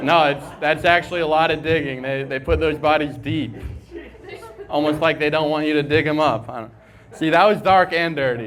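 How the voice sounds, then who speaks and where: Through noticeable background noise, a man with an American accent speaks at a moderate pace in a fairly high voice with fairly even intonation. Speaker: stand-up comedian. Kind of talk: stand-up comedy set.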